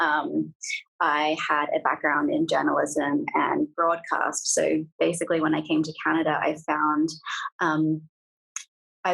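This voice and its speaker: A woman is speaking. She talks with an Australian accent. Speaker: food company founder. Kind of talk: interview.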